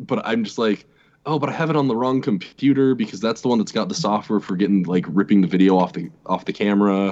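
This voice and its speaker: The speech comes very fast, with a lively, bouncing intonation. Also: man, fairly low pitch for a man. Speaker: guest YouTuber. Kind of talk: casual chat.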